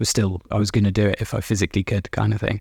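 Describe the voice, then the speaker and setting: Somewhat breathy male speech at a fairly quick pace, with fairly even intonation. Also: very clean recording, silent background. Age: 30s. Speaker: recovering addict. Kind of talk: interview.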